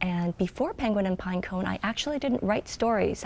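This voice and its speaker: A woman speaks at medium pitch with a Korean accent. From South Korea, moved to US as child. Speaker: children's book author and illustrator. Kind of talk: interview answers. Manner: hesitant, many filler ums.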